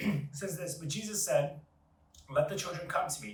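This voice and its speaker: Amid noticeable background noise and audible room echo, a man speaks at a fairly quick pace with lively intonation. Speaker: devotional host. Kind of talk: devotional reading.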